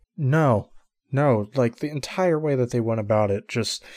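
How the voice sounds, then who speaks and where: This man has an unremarkable speaking voice at a medium pitch, with lively intonation. The recording is very clean, with a silent background. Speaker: podcast co-host. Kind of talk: casual chat.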